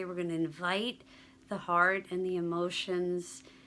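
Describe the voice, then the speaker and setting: A woman speaks softly at a medium pitch. Her tone is bright and sharp. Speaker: stress reduction guide. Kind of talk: guided relaxation practice. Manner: soft-spoken.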